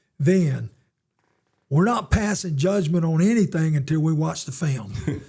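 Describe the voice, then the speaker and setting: In a Southern US accent, a man talks at a moderate pace with a fairly high pitch and a dark, mellow tone. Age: 70s. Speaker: retired football coach. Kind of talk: interview.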